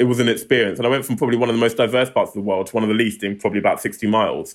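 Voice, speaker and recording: A man with a London accent speaks at a medium pitch and with fairly even intonation. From Southeast London, England. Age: 30s. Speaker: tech non-profit founder. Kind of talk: interview.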